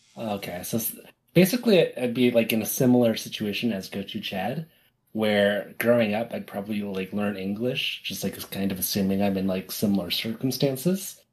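Here is a man with an unremarkable speaking voice, fairly low in pitch, with ordinary pitch variation at a fairly quick pace. The recording is very clean, with a silent background. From United States. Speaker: podcast co-host. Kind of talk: casual chat.

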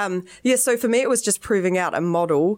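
A woman with a New Zealand accent talks at a moderate pace in a fairly low pitch. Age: 30s. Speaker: startup founder and product designer. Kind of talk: casual interview.

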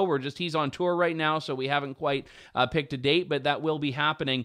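A man with a Canadian accent and an ordinary speaking voice moves at a fairly quick pace with ordinary pitch variation. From Canada (Ontario). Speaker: talk show host and journalist. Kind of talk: talk show commentary.

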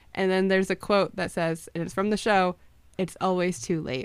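In a very clean recording with a silent background, a woman talks at a fairly quick pace in a normal speaking voice, medium in pitch with ordinary pitch variation. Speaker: podcast co-host. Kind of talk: casual chat.

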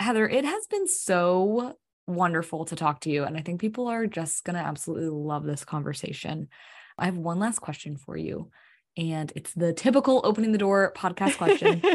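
With an ordinary speaking voice, a woman talks at a fairly quick pace and fairly low pitch, her intonation lively against a quiet background. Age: 20s. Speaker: podcast host. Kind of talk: interview conversation.

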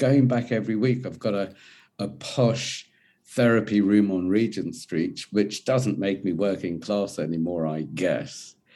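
A man's fairly low, dark and mellow voice with an English accent, at a fairly slow pace with ordinary pitch variation, on a very clean recording with a silent background. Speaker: men's mental health coach. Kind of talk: casual interview chat.

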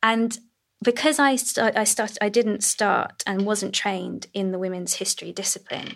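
A woman speaks in an unremarkable speaking voice at medium pitch. Her pace is moderate, and her intonation fairly even. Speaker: cultural historian. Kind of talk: panel discussion.

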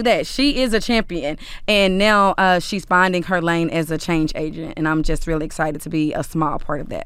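A woman speaks at medium pitch and a fairly quick pace with lively intonation. She has a plain, everyday voice. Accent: American. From Dallas, Texas (South Oak Cliff). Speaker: community relations executive for a pro sports team. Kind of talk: interview conversation.

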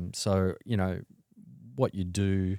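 In an Australian accent, a man speaks with a very deep, low pitch and a dark, mellow tone, in a dry, close sound with no echo on a very clean recording with a silent background. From Sydney, Australia. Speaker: wealth manager. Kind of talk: interview. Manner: hesitant, many fillers.

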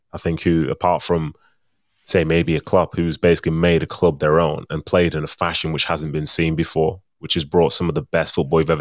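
Very deep and low, a man's voice comes at a moderate pace with a dry, close sound and no echo, on a very clean recording with a silent background. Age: 30s. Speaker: former footballer and pundit. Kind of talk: casual interview chat.

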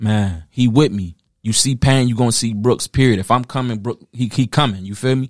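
A man with a normal speaking voice talks at medium pitch and a fairly quick pace, with ordinary pitch variation, in a very clean recording with a silent background. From Philadelphia, then Detroit and Toledo, Ohio. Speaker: battle rapper. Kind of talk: casual interview.

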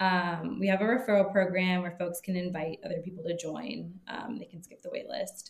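A woman with an American accent speaks at a medium pitch and a moderate pace, with hardly any pauses. Her voice is somewhat breathy and her intonation fairly even. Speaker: founder of a travel company. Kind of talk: casual interview conversation.

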